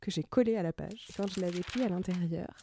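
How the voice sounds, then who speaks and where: Her voice has a dark, mellow tone at a medium pitch with ordinary pitch variation. The recording of this woman is very clean, dry and close, with a silent background and no echo. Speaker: podcast host. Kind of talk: personal reflective podcast monologue.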